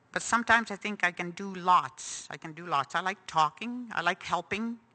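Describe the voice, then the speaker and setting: Speaking at a moderate pace, a woman uses a medium pitch with ordinary pitch variation. Her tone is bright and sharp, and the background is quiet. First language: Cree. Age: 60s. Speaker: residential school survivor. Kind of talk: testimony. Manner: halting.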